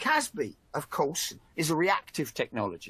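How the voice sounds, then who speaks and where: A man talks at a moderate pace in a Cockney accent. His pitch is fairly high and his tone bright and sharp. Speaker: industry analyst and webinar host. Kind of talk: webinar discussion. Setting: online webinar. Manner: halting, many repetitions.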